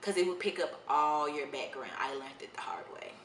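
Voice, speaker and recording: A woman's fairly low voice with ordinary pitch variation at a fairly quick pace, with audible room echo and noticeable background noise. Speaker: media correspondent, on-camera host. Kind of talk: vlog tips talk. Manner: loud; casual.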